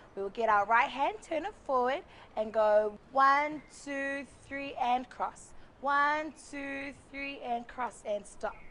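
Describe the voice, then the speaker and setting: Speaking very slowly in a New Zealand accent, a woman with a high pitch and ordinary pitch variation sounds upbeat over light background noise. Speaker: cultural performer and instructor; instructor. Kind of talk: tutorial. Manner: upbeat, counting rhythmically. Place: garden. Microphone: lapel.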